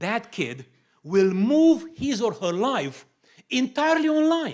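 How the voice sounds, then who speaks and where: A man speaks with a Romanian accent. His pace is very slow. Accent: Romanian accent, lasting. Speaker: pastor. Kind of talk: sermon-style teaching talk.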